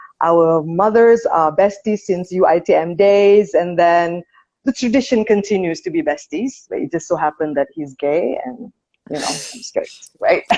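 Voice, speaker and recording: In a Malaysian accent, a woman with a medium pitch and a dark, mellow tone speaks at a moderate pace with lively intonation. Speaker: interviewer. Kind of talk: casual chat.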